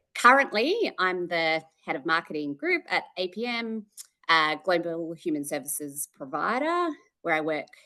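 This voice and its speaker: With an Australian accent, a woman speaks at a moderate pace in a fairly low pitch. Her tone is bright and sharp, with lively intonation. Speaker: marketing executive. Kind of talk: interview. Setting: call. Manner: hesitant, many fillers.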